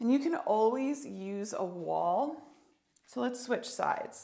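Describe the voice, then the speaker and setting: A woman's lively intonation amid audible room echo. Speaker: yoga therapist. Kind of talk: tutorial.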